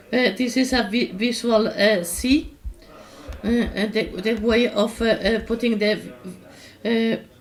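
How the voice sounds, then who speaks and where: A woman speaks at a fairly slow pace with a fairly high pitch and fairly even intonation. Her long, frequent pauses sit over noticeable background noise. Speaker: workshop instructor. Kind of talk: tutorial. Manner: halting, many fillers.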